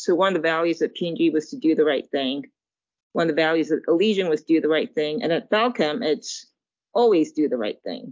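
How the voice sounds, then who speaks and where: A woman with an American accent and a normal speaking voice talks at a fairly quick pace, her fairly low pitch carrying lively intonation. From England, Zimbabwe, New York and Japan. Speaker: general counsel. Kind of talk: interview.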